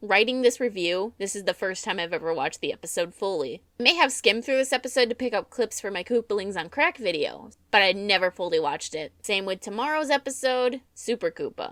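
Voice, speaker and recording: A normal speaking voice from a woman, medium in pitch with lively intonation, at a fairly quick pace with hardly any pauses, dry and close with no echo, on a very clean recording with a silent background. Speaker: voice actor. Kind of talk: episode review narration.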